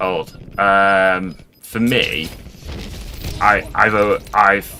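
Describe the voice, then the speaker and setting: A man with a very deep, low pitch and ordinary pitch variation, music playing in the background. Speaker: streamer. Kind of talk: casual chat. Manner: halting.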